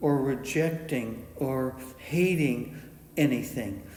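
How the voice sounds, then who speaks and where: A somewhat breathy man talks at a very slow pace with ordinary pitch variation. Audible room echo is present. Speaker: meditation teacher. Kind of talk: dharma talk. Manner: halting with many uh fillers.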